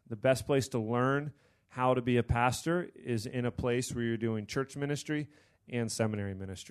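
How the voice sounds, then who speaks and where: In a plain, everyday voice, a man with an American accent talks fairly quickly at medium pitch with fairly even intonation against a quiet background. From Pennsylvania, US. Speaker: seminary student and Bible study leader. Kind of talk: panel discussion.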